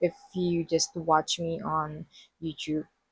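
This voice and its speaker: A somewhat breathy woman at a very slow pace, in a dry, close sound with no echo. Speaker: podcast host. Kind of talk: casual monologue. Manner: animated.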